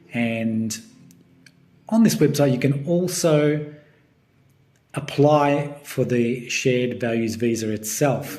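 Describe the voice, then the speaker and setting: A man with an Australian accent speaks at a very slow pace, leaving long, frequent pauses. His pitch is fairly high, with ordinary variation. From Melbourne, Australia. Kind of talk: casual talk to camera.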